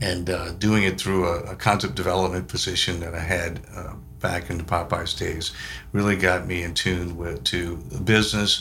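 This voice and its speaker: With audible room echo, a man talks at a moderate pace in a very deep, low pitch with fairly even intonation. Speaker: business executive. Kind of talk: casual interview chat. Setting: studio.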